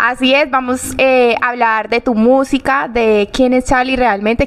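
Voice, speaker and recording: Speaking at a fairly slow pace, a woman with a fairly high pitch is heard over noticeable background noise. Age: young. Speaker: podcast host. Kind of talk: interview conversation.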